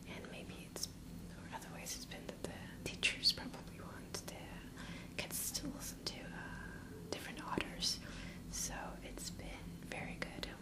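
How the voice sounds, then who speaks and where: Whispering at a fairly slow pace, a woman speaks over noticeable background noise. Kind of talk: ASMR librarian roleplay. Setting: microphone recording at home. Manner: whispered, soft-spoken.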